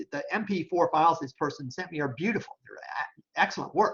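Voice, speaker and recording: Against a quiet background, a man talks at a high pitch with ordinary pitch variation. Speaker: professor; instructor. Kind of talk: tutorial. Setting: screen-share recording. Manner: fast; casual, with fillers. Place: home room. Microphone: webcam.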